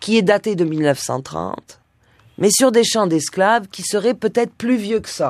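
A woman with an ordinary speaking voice, lively intonation and a fairly slow pace. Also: very clean recording, silent background. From southern France, Nice. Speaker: singer and musician. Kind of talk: radio interview.

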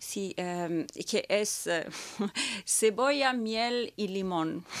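Her voice sits at a medium pitch for a woman. The audio is very clean, and the background is silent. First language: not Spanish; learned Spanish as a child in Peru (speaking Spanish). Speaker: opera singer. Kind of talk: interview. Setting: studio.

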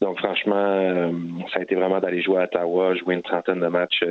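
A man speaks in a very deep, low voice with a flat, monotone intonation. Noticeable background noise runs underneath. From Montreal, Quebec. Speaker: professional soccer goalkeeper. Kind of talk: interview. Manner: halting, many fillers.

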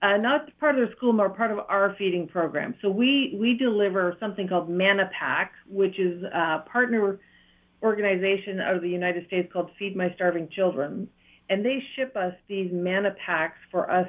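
Here a woman speaks in an Ontario accent at a medium pitch. Her pace is moderate, with ordinary pitch variation. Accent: Ontario Canadian. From Northern Ontario. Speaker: charity founder running orphanage. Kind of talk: radio interview.

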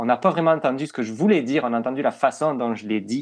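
Over a quiet background, a man talks at a very fast pace, medium in pitch with ordinary pitch variation. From southwest France, Toulouse. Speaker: communications manager. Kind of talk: interview.

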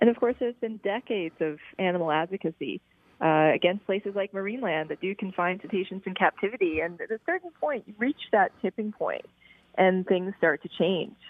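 A woman's medium-pitched, unremarkable speaking voice at a fairly quick pace, with ordinary pitch variation. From Prince Edward Island, Canada. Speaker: animal rights advocate. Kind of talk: interview.

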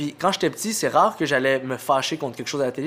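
Talking at a very fast pace, a man has a fairly high pitch and ordinary pitch variation. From Montreal, Quebec. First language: Arabic (speaking French). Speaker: comedian. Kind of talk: casual chat.

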